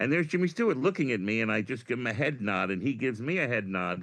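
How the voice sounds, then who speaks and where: A man in a New York accent with lively intonation. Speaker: comedian. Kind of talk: casual chat. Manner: animated.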